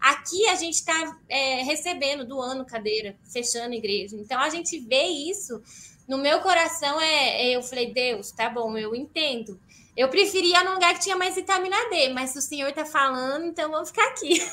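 A woman with a high, bright, sharp voice projects it loudly with lively intonation. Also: moderate pace. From Brazil. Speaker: missionary. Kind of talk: live-stream interview.

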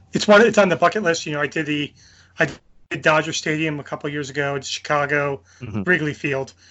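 The speaker has a New Jersey accent. Pitch variation is ordinary and the pace is moderate. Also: man. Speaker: podcast co-host. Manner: casual, conversational.

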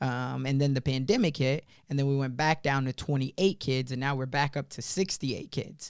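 On a very clean recording with a silent background, a man with an American accent talks in a normal speaking voice at a fairly quick pace, fairly high in pitch, with fairly even intonation and hardly any pauses. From US Midwest, Chicago (South Side). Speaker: entrepreneur. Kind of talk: interview. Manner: conversational with frequent fillers.

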